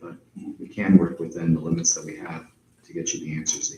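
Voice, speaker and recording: A soft-spoken man talks at a fairly quick pace, with big swings in loudness. He pauses long and often. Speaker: agency attorney. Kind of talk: public meeting Q&A.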